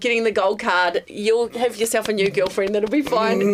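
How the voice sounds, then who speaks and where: A woman's fairly high voice with a New Zealand accent at a moderate pace, over noticeable background noise. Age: 50s. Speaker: former radio host turned podcaster. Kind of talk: casual interview chat.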